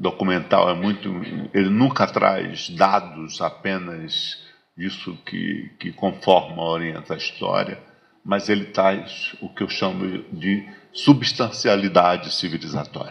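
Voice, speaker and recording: At a very slow pace, a man with a fairly low pitch speaks with ordinary pitch variation and big swings in loudness. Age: 60s. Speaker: lecturer on African philosophy. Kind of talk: lecture. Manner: halting, many repetitions.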